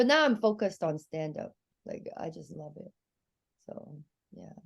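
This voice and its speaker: A woman's voice with very wide pitch swings, vocal fry, big swings in loudness and a moderate pace. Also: medium pitch for a woman. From Hong Kong, then Seattle from age 12. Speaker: stand-up comedian. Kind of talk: casual chat.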